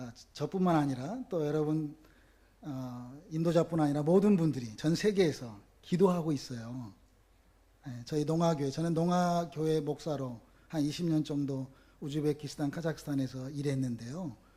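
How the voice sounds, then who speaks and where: A man with a dark, mellow tone speaks at a moderate pace, his fairly high pitch showing ordinary variation. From Korea, North Jeolla (Namwon). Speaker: pastor. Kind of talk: sermon. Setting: church with congregation. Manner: animated, engaging audience.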